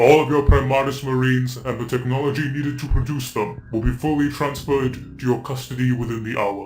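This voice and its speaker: A man performs a put-on character voice at a medium pitch and a moderate pace. Background noise is clear behind him. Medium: audio drama. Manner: calm, authoritative, formal.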